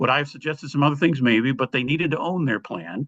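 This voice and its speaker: This man has an unremarkable speaking voice with an American accent. His pitch is fairly high, with ordinary pitch variation. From US Midwest, Chicago. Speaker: army veteran and business leader. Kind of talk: storytelling in a leadership interview.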